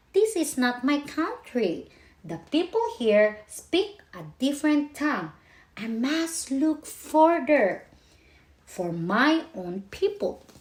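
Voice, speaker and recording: A woman does a put-on character voice, pitched high and swinging very widely in pitch, at a very slow pace. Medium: read story.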